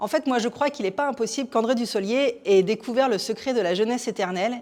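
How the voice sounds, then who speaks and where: A woman at a very fast pace. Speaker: theatre programme presenter. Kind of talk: theatre show presentation to camera.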